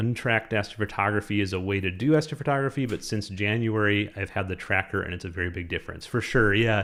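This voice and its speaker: Speaking at a very fast pace with hardly any pauses, a man with a fairly low pitch and ordinary pitch variation comes through on a very clean recording with a silent background. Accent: Minnesotan. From Minnesota, Minneapolis. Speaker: astrophotography YouTuber. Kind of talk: live stream chat.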